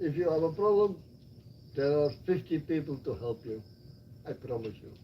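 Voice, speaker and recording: With lively intonation and a somewhat breathy sound, this man talks at a moderate pace in a fairly high pitch. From Belgium (Flanders). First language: Flemish. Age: 60s. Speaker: retired expat. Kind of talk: casual chat. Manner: animated.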